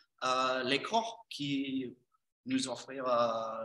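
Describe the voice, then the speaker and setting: This man has a fairly high pitch and delivers his words at a very slow pace. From Texas, US. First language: English (speaking French). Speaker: English teacher and course trainer. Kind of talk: presentation. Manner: halting.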